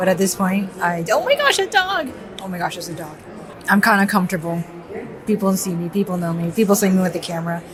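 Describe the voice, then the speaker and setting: Noticeable background noise surrounds a woman speaking at a medium pitch with fairly even intonation. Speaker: artist vlogger. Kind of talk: vlog monologue. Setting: art fair, public venue. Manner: quiet, trying not to speak loudly.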